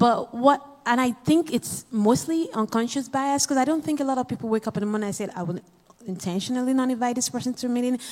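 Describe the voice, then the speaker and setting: The delivery is very fast. Pitch varies in an ordinary way. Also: woman, high pitch for a woman. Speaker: audience member asking question. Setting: stage with audience.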